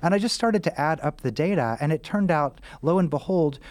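An American man talks at a fairly quick pace in a normal speaking voice with a fairly high pitch. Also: very clean recording, silent background. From Missouri, US Midwest. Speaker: author, physician and professor. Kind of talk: interview.

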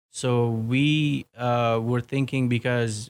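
A man with an Afghan accent in monotone, flat intonation, a dry, close sound with no echo and a very clean recording with a silent background. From Afghanistan. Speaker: soldier and former army interpreter. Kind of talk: casual interview.

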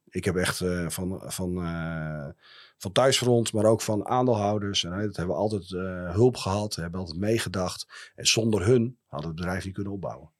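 With a very clean recording and a silent background, a man speaks at a moderate pace in a very deep, low pitch with ordinary pitch variation. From Friesland, Netherlands (Heerenveen). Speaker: company founder and director. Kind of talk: interview. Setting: studio.

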